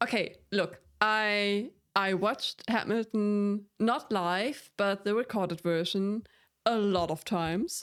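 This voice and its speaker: Over a very clean recording with a silent background, a woman speaks at a very slow pace with very even loudness and ordinary pitch variation. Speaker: music reaction youtuber. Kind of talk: casual chat.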